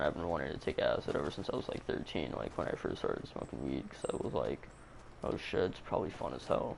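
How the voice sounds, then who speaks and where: A man speaks quietly at a very fast pace. Noticeable background noise is present. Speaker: gaming livestreamer telling stories. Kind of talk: casual storytelling on a livestream. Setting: home livestream broadcast. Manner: kept low, quiet.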